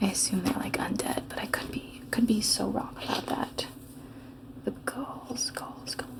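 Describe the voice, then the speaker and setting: Calm and soft-spoken, the voice comes through noticeable background noise. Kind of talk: soft-spoken gaming playthrough. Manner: soft-spoken, calm, rambling.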